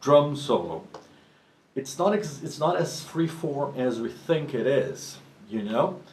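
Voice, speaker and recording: A man talks with a Portuguese accent at a very slow pace. The room echo is audible. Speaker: professional drummer and drum teacher. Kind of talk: tutorial. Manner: halting, with frequent restarts.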